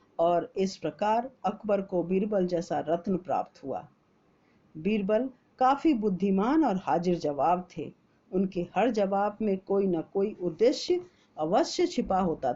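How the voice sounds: At a fairly slow pace, a woman with a medium pitch and a dark, mellow tone speaks with lively intonation.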